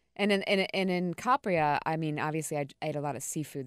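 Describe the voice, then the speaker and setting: A woman with an American accent, very deep and low in pitch, very fast, with ordinary pitch variation, dry and close with no echo, on a very clean recording with a silent background. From US South, North Carolina coast. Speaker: wine podcast co-host. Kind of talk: casual chat. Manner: animated.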